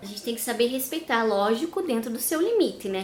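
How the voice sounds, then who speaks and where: With a southern Brazilian accent, a woman speaks at a fairly high pitch and fairly quick pace with lively intonation, amid noticeable background noise and audible room echo. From southern Brazil, Curitiba. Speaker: vlogger. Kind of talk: casual vlog talk.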